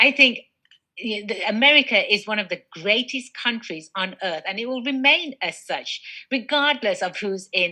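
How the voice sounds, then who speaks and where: Against a quiet background, a woman with an English accent speaks at a moderate pace, her medium-pitched voice bright and sharp in tone, with lively intonation. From England. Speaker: business attorney. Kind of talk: interview. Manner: animated.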